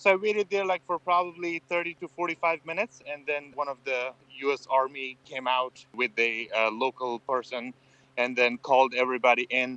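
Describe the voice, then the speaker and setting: Medium-pitched man with an Afghan accent, bright, sharp tone, ordinary pitch variation and moderate pace, in a dry, close sound with no echo. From Afghanistan. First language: Farsi. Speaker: former military interpreter. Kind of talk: interview. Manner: hesitant, with frequent fillers.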